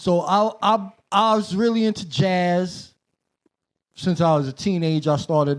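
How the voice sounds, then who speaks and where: The speaker has a New York accent and talks at a fairly slow pace. The pitch varies in an ordinary way. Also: man, high pitch for a man. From Brooklyn, New York City. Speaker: hip-hop producer, DJ and rapper. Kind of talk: casual chat.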